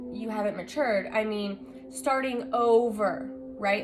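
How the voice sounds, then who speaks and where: A woman with a fairly high pitch speaks at a fairly slow pace, with music in the background and audible room echo. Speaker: tarot reader. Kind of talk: tarot reading to camera. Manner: loud; animated.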